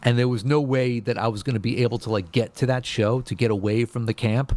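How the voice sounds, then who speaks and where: Speaking at a moderate pace, a man uses a medium pitch in an American accent. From New York City, Brooklyn. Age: 40s. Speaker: bass guitarist. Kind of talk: casual podcast interview. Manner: halting, many restarts.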